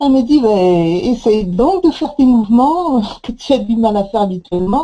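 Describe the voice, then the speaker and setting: At a fairly slow pace, a woman speaks with a fairly high pitch, a dark, mellow tone and lively intonation. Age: 60s. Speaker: product testimonial giver. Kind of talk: testimony. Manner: halting, many hesitations.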